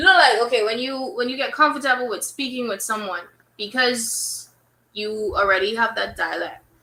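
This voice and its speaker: A woman with a Bahamian accent and a high pitch, at a moderate pace with lively intonation. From Bahamas. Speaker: DJ. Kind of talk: casual chat.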